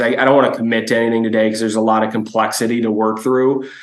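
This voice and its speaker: Flat, monotone intonation comes through in an American accent, with audible room echo in the recording. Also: man. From Chicago, US Midwest. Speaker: toy company executive. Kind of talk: business presentation.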